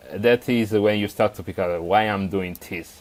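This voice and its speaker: In an Italian accent, the speaker moves at a moderate pace. The intonation stays monotone and flat. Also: man. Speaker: software developer, tool author. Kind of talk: podcast interview. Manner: halting, many fillers.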